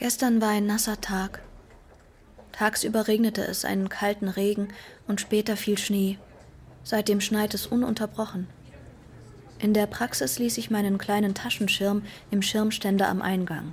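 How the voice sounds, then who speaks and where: Long, frequent pauses break up this woman's fairly slow speech. Her medium pitch holds fairly even intonation. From Iran (Tehran). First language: Persian (speaking German). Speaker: author. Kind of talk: scripted narration.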